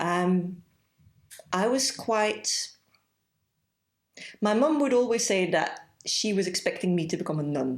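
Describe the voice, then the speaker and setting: With long, frequent pauses, a woman speaks at a fairly slow pace and her pitch swings very widely. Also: medium pitch for a woman. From Belgium. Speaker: yoga teacher and holistic therapist. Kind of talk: interview.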